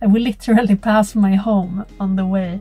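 The speaker is a woman. Her pace is moderate. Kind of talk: casual vlog chat. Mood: cheerful. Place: car. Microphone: phone near.

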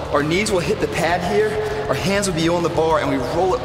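A man's high voice at a fairly quick pace, with ordinary pitch variation over music in the background. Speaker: fitness trainer. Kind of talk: tutorial. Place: gym.

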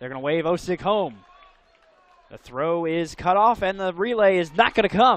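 A man's high voice at a moderate pace, with ordinary pitch variation and a dry sound with no echo. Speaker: play-by-play announcer. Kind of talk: live baseball play-by-play commentary over highlight clips. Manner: rising-and-falling energy, shouting at big plays. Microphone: headset.

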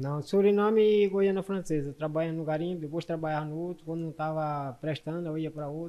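Fairly quick and with hardly any pauses, a man speaks in fairly even intonation. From Brazil, Maranhão (northeast). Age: 30s. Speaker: defendant, former gold miner. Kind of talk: courtroom testimony. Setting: courtroom with microphone. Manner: soft-spoken. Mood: calm, somewhat guarded. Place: hall. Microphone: handheld.

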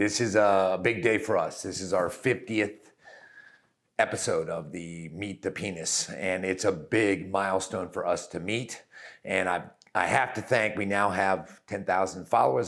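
A man speaks at a moderate pace with a fairly low pitch. The background is quiet. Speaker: doctor hosting a web series. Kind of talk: casual host address to viewers. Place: office. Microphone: lapel.

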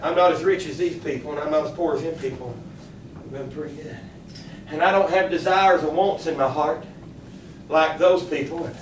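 Over noticeable background noise, a man with a fairly high voice talks at a fairly quick pace with fairly even intonation and long, frequent pauses. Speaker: pastor. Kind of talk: sermon, fervent Pentecostal-style preaching with congregational call-and-response. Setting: church service held in a kitchen. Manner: impassioned and rhythmic, building with repeated declarations; exclamatory, punctuated by shouts of Glory and Amen.

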